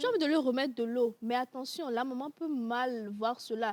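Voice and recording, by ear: The pace is fairly quick, the tone slightly mellow, and the pitch varies in an ordinary way. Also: woman, fairly high pitch for a woman.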